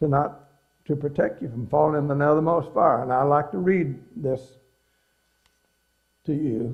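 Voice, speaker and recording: Speaking at a moderate pace with long, frequent pauses, a man has a fairly high, somewhat breathy voice and ordinary pitch variation. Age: 80s+. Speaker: religious speaker on pioneering. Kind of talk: inspirational talk to an audience. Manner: folksy, conversational.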